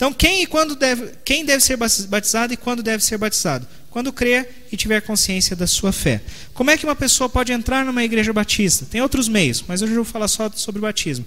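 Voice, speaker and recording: A raised, projected voice moves at a fairly quick pace with ordinary pitch variation. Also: man, extremely high pitch for a man. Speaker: pastor. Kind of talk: sermon. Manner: fast.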